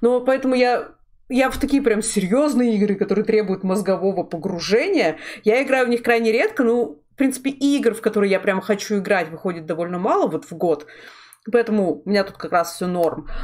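A woman talks at a fairly quick clip. Her tone is animated and her intonation lively. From Russia, Sverdlovsk region (Urals). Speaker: streamer and artist hosting a talk show. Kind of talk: casual chat. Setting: live stream.

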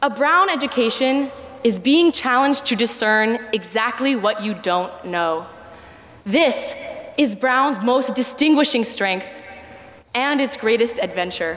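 Over light background noise, a woman speaks fairly slowly in a high pitch. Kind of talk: commencement speech. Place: stage. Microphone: podium.

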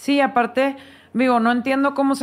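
A woman speaks with a strong northern Mexican accent on a very clean recording with a silent background. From northern Mexico, Chihuahua. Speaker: foundation director, illness survivor. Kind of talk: interview.

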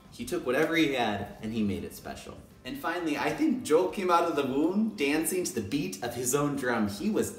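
Over music in the background and audible room echo, a man talks at a moderate pace with hardly any pauses and very wide pitch swings. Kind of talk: casual talk to camera. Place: home room. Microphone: phone near.

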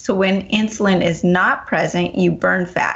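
Speaking at a moderate pace, a woman uses a plain, everyday voice at medium pitch with ordinary pitch variation. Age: 40s. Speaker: radio health show host and health coach. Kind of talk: talk radio interview.

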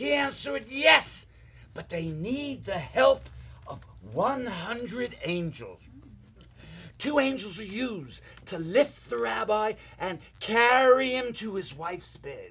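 Put-on character voice from a man, high-pitched with big pitch swings, bright and sharp in tone, at a slow pace

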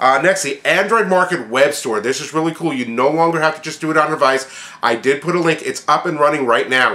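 Amid noticeable background noise, a man talks at a very fast pace in a fairly high pitch with ordinary pitch variation. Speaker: tech news video blogger. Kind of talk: news recap monologue. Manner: casual, conversational with fillers.

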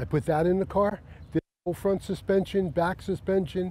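A man with a high pitch speaks in a dry sound with no echo. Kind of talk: interview answer. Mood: relaxed, proud, humorous. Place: open country.

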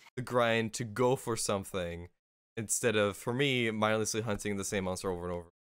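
An unremarkable speaking voice from a man, fairly low in pitch, with fairly even intonation, a fairly quick pace, a dry sound with no echo and a quiet background. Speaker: podcast co-host and game streamer; podcast co-host, game streamer. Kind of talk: casual chat. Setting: video call. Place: home room. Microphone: studio mic.

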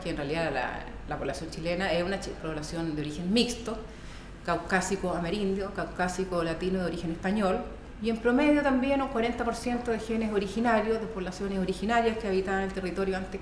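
Audible room echo and light background noise surround a woman talking at a very fast pace with ordinary pitch variation. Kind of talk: interview answer. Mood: thoughtful, earnest.

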